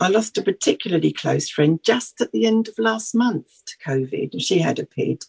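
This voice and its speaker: A woman with a British accent at a moderate pace, the sound dry and close with no echo. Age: 60s. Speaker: patient charity representative. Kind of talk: radio interview. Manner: halting.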